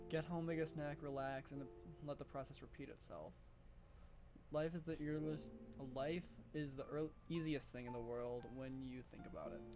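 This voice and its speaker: Over music in the background, a man mumbles at a fairly high pitch, with long, frequent pauses. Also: fairly even intonation, moderate pace. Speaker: gaming youtuber. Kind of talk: reading aloud game text with commentary. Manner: mumbling.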